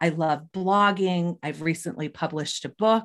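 Against a quiet background, a woman speaks at a moderate pace with a fairly low pitch. She has a normal speaking voice, and her intonation is fairly even. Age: 40s. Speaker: psychotherapist and entrepreneur. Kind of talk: interview.

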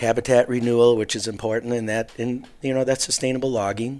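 A medium-pitched man with a Wisconsin accent, fairly even intonation and a fairly quick pace, on a very clean recording with a silent background. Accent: Upper Midwest (Wisconsin). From southeast Wisconsin, Waukesha area. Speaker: hunting mentor. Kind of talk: casual interview.

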